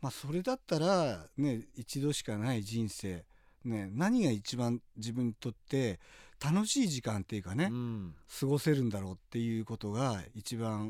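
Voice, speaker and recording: The recording is very clean with a silent background. An ordinary speaking voice carries lively intonation at a moderate pace. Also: man, medium pitch for a man. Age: 50s. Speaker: professional skydiver. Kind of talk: interview.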